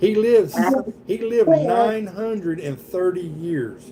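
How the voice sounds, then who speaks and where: Speaking with a Southern US accent, a man talks at a very slow pace with lively intonation. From US South. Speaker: Bible study leader. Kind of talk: Bible study. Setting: livestream with participants. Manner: casual, conversational.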